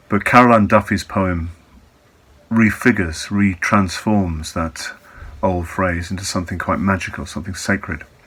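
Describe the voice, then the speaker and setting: A man in an English accent, fairly low in pitch, calm in tone, at a moderate pace with fairly even intonation. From England. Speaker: Buddhist teacher. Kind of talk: reflective talk.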